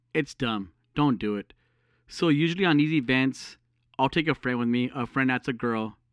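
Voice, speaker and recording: A man with a medium-pitched voice speaks at a moderate pace with ordinary pitch variation in an ordinary speaking voice, the sound dry and close with no echo. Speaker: podcast host. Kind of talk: casual chat. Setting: phone call.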